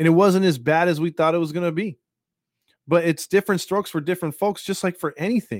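On a very clean recording with a silent background, a man talks at a fairly quick pace with a fairly high pitch. He has an ordinary speaking voice, heard in a dry, close sound with no echo. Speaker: podcast host. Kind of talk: angry rant, heated and indignant, venting about government, media and covid; casual live podcast rant. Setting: live stream on a podcast platform. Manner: fired-up, indignant, rambling with frequent fillers.

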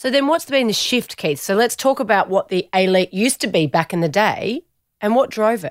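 A woman with an Australian accent talks at a fairly quick pace in a fairly high pitch. Her pitch swings very widely, and the sound is dry and close with no echo. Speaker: podcast host. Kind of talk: casual interview. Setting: studio.

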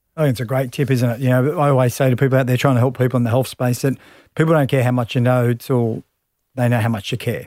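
A man with an Australian accent talks very fast at a medium pitch, his intonation flat and monotone. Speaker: podcast host and former rugby league player. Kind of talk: casual interview.

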